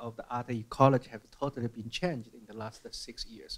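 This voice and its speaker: In a Chinese accent, a man speaks at medium pitch with ordinary pitch variation. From mainland China. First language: Mandarin Chinese. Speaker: museum curator; panelist. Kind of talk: panel discussion. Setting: stage with audience. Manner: halting, repeats words. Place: hall. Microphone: handheld.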